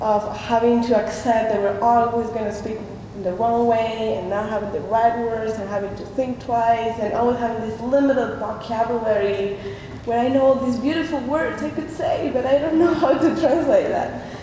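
A woman talks with a Spanish accent at a fairly high pitch, with ordinary pitch variation. Room echo is audible, and there is light background noise. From Argentina. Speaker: artist. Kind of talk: artist talk at a panel. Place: hall. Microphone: podium.

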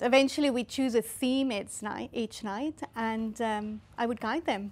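Fairly high in pitch, a woman with a South African accent speaks at a fairly slow pace with fairly even intonation. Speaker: art studio owner and entrepreneur. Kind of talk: interview. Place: studio. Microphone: lapel.

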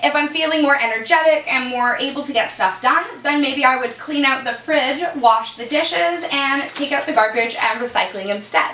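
A woman's high, raised, projected voice with hardly any pauses, over light background noise and audible room echo. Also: ordinary pitch variation, moderate pace. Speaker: ADHD lifestyle vlogger. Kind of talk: casual talk to camera. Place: home room.

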